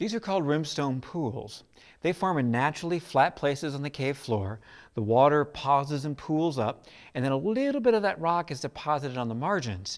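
Over a quiet background, this man talks moderately fast. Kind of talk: interview answer. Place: tunnel cave.

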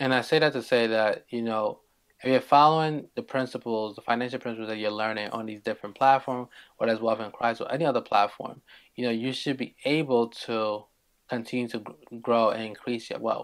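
Fairly even intonation over a quiet background. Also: man. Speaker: show host. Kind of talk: talking-head commentary. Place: home room.

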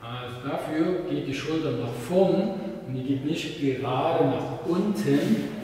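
A man talks at a very slow pace with ordinary pitch variation. Strong room echo and light background noise are present. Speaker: fitness trainer. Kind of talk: tutorial. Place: gym.

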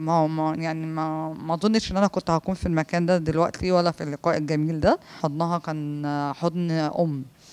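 At a moderate pace, a woman speaks with a fairly low pitch and fairly even intonation. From Egypt. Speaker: PE teacher and master's graduate raised in an orphanage; interviewee. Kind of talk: interview testimony. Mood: warm, grateful. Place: home room. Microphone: handheld.

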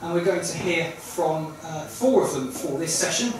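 Ordinary pitch variation amid noticeable background noise and strong room echo. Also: man. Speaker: event host. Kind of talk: public announcement to audience. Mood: warm, festive welcome. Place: hall. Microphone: pa.

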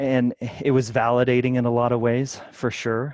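A man with an American accent talks at a fairly slow pace and a medium pitch, in an ordinary speaking voice, with a dry, close sound free of echo and a quiet background. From Kansas. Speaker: fitness coach and podcaster. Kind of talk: casual interview.

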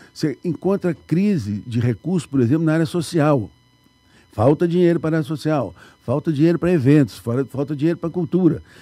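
Over faint background music, a man talks at a fairly quick pace with lively intonation and a fairly high pitch, in a dry sound with no echo. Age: 70s. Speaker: municipal finance secretary; guest. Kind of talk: radio interview. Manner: halting. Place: studio. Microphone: studio mic.

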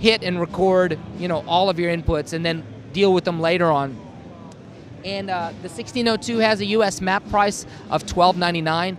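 With light background noise and a dry sound with no echo, a man talks at a fairly slow pace in a high pitch with ordinary pitch variation. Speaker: product demonstrator. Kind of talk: product demo explanation. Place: hall. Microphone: handheld.

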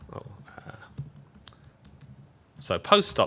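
A man with an English accent speaks at a very slow pace in a bright, sharp tone over light background noise. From Britain. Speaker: software engineer, project lead. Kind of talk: live coding conference talk. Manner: casual, joking. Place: meeting room.

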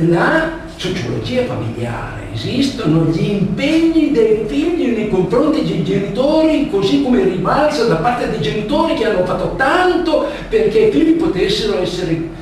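With strong room echo and light background noise, a man speaks at a moderate pace in a high pitch. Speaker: lecturer. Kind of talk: lecture. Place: hall. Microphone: camera far.

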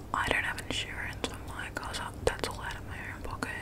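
Loud background noise fills the clip while a woman talks at a moderate pace. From Australia. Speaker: ASMR creator. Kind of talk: casual talk to camera. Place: home room. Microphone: studio mic.

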